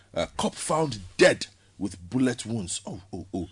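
A somewhat breathy man at a fairly slow pace with lively intonation. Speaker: newspaper review panelist. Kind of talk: radio panel discussion. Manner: laughs often.

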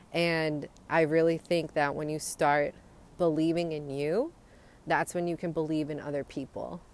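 Her very deep, low pitch and warm tone stay in monotone, flat intonation as the woman speaks at a moderate pace. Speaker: podcaster giving a daily motivational talk. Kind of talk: pep talk. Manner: warm, encouraging, conversational.

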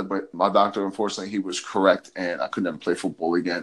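Here a man is speaking. His pace is very fast. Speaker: health and fitness coach. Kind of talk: casual chat.

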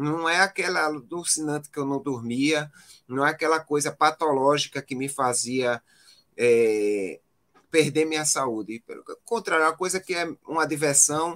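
A man has an unremarkable speaking voice, pitched fairly high. He talks at a fairly slow pace with ordinary pitch variation. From Pernambuco, Brazil. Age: 40s. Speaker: physician and marathon runner. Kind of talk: casual interview.

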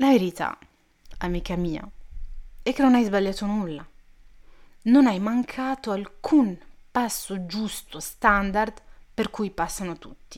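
A woman speaks at a very slow pace and a medium pitch, with ordinary pitch variation. Her loudness swings widely, and she leaves long, frequent pauses. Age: 20s. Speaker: podcast host. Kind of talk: personal monologue. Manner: casual, chatty.

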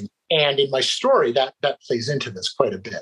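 A man with a Mid-Atlantic American accent, in dry, close sound with no echo. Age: 40s. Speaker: employment lawyer and recovering addict. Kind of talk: interview, personal testimony.

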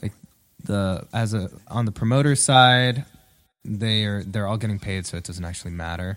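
A man's ordinary speaking voice, fairly low in pitch, at a moderate pace. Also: ordinary pitch variation. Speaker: podcast co-host and musician. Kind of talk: casual chat.

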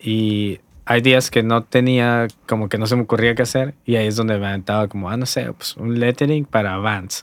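At a moderate pace and with hardly any pauses, a man speaks in an ordinary speaking voice at a medium pitch with fairly even intonation. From Hermosillo, Sonora, northern Mexico. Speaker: graphic designer and lettering artist. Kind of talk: casual chat. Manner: relaxed, slangy.

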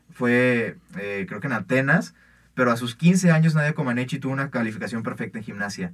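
In an unremarkable speaking voice, a man at a medium pitch talks at a fairly quick pace with lively intonation. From Mexico. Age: young. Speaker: university student sports podcast host. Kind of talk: casual sports debate.

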